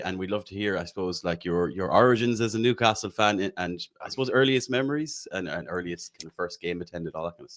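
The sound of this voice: A man's fairly low voice with ordinary pitch variation, a fairly bright tone and a fairly quick pace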